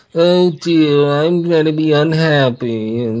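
Someone uses a put-on character voice at a middle pitch, speaking at a fairly slow pace. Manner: mopey, unhappy.

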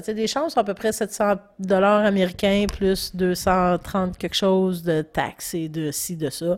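On a very clean recording with a silent background, a woman speaks very slowly at medium pitch with ordinary pitch variation. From Quebec, Gaspésie. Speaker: podcast co-host. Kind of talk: casual chat.

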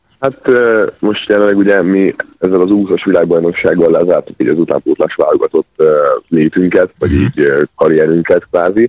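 A man at a fairly quick pace with very even loudness. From Hungary, Szeged. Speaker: water polo player. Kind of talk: radio phone interview. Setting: phone call.

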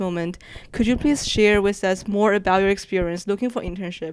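Here is a plain, everyday voice. It belongs to a woman. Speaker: student worker. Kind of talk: interview.

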